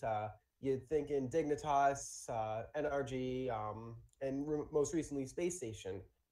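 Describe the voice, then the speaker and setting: Here a man talks with an American accent. He keeps a fairly slow pace. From Boston area, US. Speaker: caller to gaming show. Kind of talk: live call-in question.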